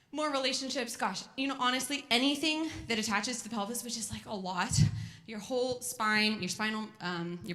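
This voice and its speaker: With audible room echo, a woman with an American accent speaks at a fairly high pitch and ordinary pitch variation. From California. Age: 30s. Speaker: physical therapist. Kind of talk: educational talk to a moms group. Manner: fast; animated.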